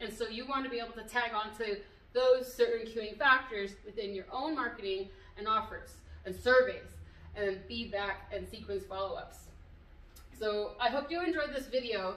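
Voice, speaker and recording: Audible room echo surrounds a woman's fairly high voice, which has big swings in loudness. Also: ordinary pitch variation, moderate pace. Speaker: business coach. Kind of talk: tutorial. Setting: video recorded at a venue. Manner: casual with many fillers.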